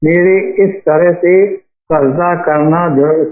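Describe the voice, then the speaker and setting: A man speaks in a high pitch with monotone, flat intonation. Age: 80s+. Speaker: caller. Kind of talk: question to a religious advice show.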